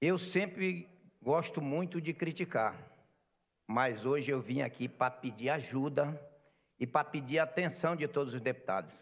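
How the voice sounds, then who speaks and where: Pausing long and often, a man with a fairly high pitch talks at a fairly slow pace with ordinary pitch variation. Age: 60s. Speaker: market vendor representative. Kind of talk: speech at legislative session. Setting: legislative assembly plenary. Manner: impassioned.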